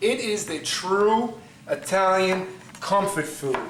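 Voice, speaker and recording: An animated man's voice amid noticeable background noise and audible room echo. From New York City (Brooklyn). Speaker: pasta maker, cooking show contestant. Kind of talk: cooking demonstration audition.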